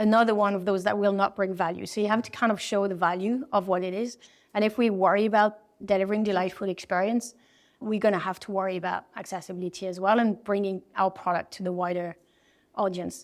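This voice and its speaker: Speaking at a very fast pace, a woman with a French accent holds a medium pitch and fairly even intonation. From France. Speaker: design executive. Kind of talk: interview. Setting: event.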